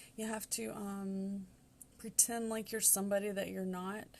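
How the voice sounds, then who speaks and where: A woman with a Southern US accent. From US Southwest, New Mexico. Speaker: tarot reader. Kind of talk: tarot reading monologue. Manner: casual, many filler ums.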